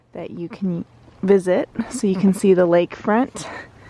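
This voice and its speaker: Through noticeable background noise, a woman with a medium pitch speaks at a fairly slow pace. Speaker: travel vlogger. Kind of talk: casual vlog narration.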